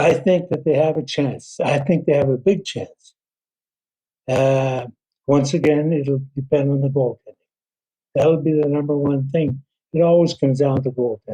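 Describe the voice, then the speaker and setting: A man speaks in a fairly high pitch with a dark, mellow tone and a somewhat breathy quality. His intonation is fairly even, broken by long, frequent pauses. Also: moderate pace. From Northern Ontario, Canada. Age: 80s+. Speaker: former hockey general manager. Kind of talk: interview.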